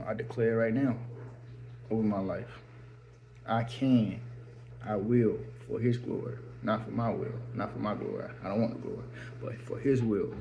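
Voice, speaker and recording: Long, frequent pauses break up the speech, and the room echo is audible. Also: man, moderate pace. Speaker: faith vlogger. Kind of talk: personal vlog testimony. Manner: halting.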